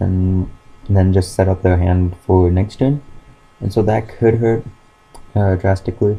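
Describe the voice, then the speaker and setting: Very deep and low, a man's voice moves at a fairly slow pace with fairly even intonation, very even loudness and long, frequent pauses. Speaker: YouTuber presenting card game deck. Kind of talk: casual deck profile tutorial. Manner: hesitant, many fillers.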